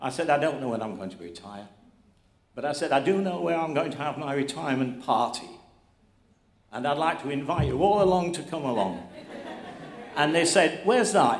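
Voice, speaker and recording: The voice moves at a fairly quick pace with very wide pitch swings, big swings in loudness and long, frequent pauses amid audible room echo. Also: man, fairly high pitch for a man. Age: 80s+. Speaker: award recipient, instrument business owner. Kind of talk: acceptance speech.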